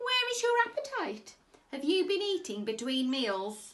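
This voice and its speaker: Using a put-on character voice at an extremely high pitch, a woman speaks at a moderate pace with very wide pitch swings. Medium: read story.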